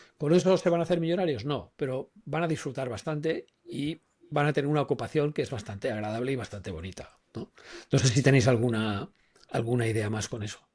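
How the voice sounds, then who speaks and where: A man's medium-pitched, somewhat breathy voice with lively intonation at a fairly quick pace. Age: 60s. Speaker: personal branding consultant. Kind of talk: podcast discussion.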